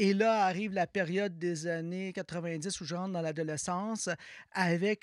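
Recorded dry and close with no echo on a very clean recording with a silent background, a man with a high pitch speaks at a fairly slow pace and with fairly even intonation. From Quebec. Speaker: musicologist and university music department director. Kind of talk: interview.

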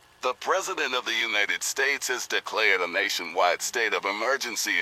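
Over noticeable background noise, a man speaks at a moderate pace in a dry, close sound with no echo. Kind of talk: formal emergency newsreading. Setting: in-fiction emergency broadcast. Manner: formal, grave, measured.

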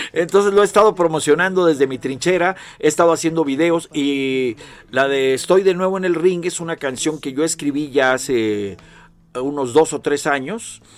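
With a normal speaking voice, a man talks at a moderate pace, his pitch fairly high with ordinary variation. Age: 60s. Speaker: singer-songwriter. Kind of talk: casual chat. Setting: studio.

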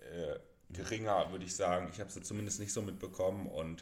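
The speaker is a man. His pitch sits fairly low. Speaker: podcast co-host. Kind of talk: casual chat. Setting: shared single microphone. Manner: quiet, soft-spoken.

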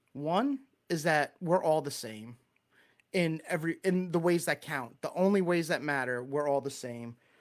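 On a very clean recording with a silent background, a man with a Long Island accent speaks at a moderate pace, fairly high in pitch, with ordinary pitch variation. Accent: Long Island New York. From Long Island, New York. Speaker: church speaker giving a talk. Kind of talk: sermon-style talk. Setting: live stream with chat. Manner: casual, chatty, self-deprecating.

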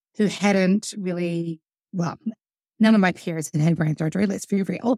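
A woman with a New Zealand accent speaks at a medium pitch, her voice dry and close with no echo. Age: 30s. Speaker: musician and songwriter. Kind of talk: casual interview.

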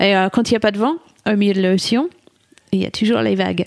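A woman with a British accent speaks at a medium pitch with fairly even intonation. The sound is dry and close, with no echo. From England. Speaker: solo ocean sailor. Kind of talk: interview. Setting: studio.

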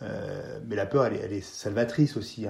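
A man is talking. The rise and fall of his voice stays fairly even. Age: 40s. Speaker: mountain guide and former gendarmerie officer. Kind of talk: interview. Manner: hesitant, with frequent repetitions and fillers.

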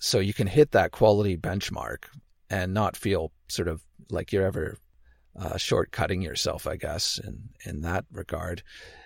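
A man with a very deep, low, somewhat breathy voice speaks at a fairly slow pace with ordinary pitch variation, the sound dry and close with no echo in a very clean recording with a silent background. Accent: Canadian. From Canada. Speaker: podcaster, former archaeologist. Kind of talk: casual interview. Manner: halting, many fillers and repetitions.

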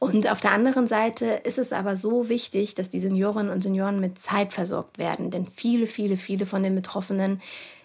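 Somewhat breathy and monotone, a woman with a medium pitch speaks at a fairly quick pace with flat intonation. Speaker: social entrepreneur. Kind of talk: casual interview chat.

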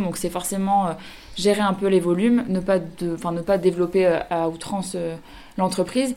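A woman's unremarkable speaking voice at medium pitch and a moderate pace. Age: 30s. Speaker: clothing brand founder. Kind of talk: radio interview. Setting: radio studio.

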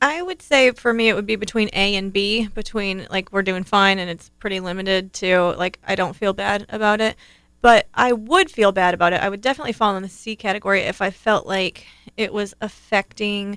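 Recorded very cleanly against a silent background, a woman with an ordinary speaking voice talks fairly quickly at a medium pitch and with fairly even intonation. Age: 30s. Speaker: podcast co-host and mother. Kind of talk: casual chat.

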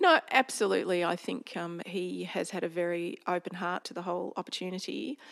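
Here someone with an Australian accent speaks at a moderate pace. The sound is dry and close with no echo, on a very clean recording with a silent background. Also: woman. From rural Victoria, Australia. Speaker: company director. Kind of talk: interview.

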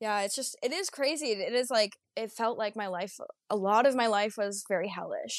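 With a normal speaking voice, a woman talks at a moderate pace and with ordinary pitch variation over a quiet background. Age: 20s. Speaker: podcast guest sharing recovery story. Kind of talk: interview, personal testimony. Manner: casual, frequent laughter.

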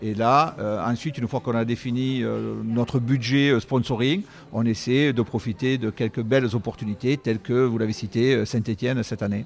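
Here a man speaks at a moderate pace with a medium pitch. His intonation stays fairly even. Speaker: company CEO. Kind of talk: interview. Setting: on location at an esports venue.

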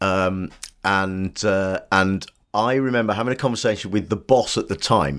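A man speaks with an English accent at a fairly low pitch, with ordinary pitch variation. The recording is very clean, with a silent background. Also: moderate pace. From Britain. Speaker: comedian and writer. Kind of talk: casual chat.

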